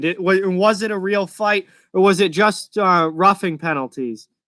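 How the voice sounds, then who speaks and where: In a raised, projected voice with a bright, sharp tone, a man with an American accent speaks at a high pitch on a very clean recording with a silent background. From Massachusetts, outside Boston. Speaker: hockey streamer. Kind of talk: live reaction and chat. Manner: casual, conversational.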